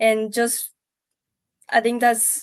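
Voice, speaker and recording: Speaking in a strong Spanish accent, a woman delivers her words at a fairly slow pace in a fairly high, monotone pitch with flat intonation. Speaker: panelist. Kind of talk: panel discussion. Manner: halting.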